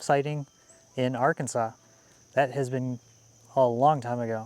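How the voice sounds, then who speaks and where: In a Wisconsin accent, a man talks at a moderate pace with a medium pitch and fairly even intonation, the sound dry and close with no echo. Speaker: homesteader and outdoors vlogger. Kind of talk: casual vlog talk to camera.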